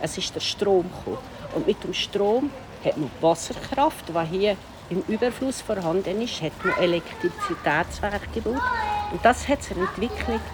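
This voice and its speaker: A woman talks at a moderate pace and medium pitch, with noticeable background noise behind her. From Switzerland, Upper Valais. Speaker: tour guide. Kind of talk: walking tour interview.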